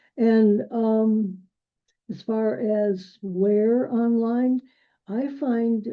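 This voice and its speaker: Fairly high pitch from a woman, her intonation fairly even. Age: 80s+. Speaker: quilt designer and speaker. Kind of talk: lecture; Q&A. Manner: hesitant, with frequent fillers.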